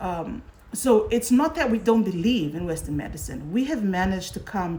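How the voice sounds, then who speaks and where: A woman speaks with lively intonation at a medium pitch. Her voice is somewhat breathy. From Fiji. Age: 40s. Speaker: current affairs host. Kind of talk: live social media talk show. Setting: livestream on social media.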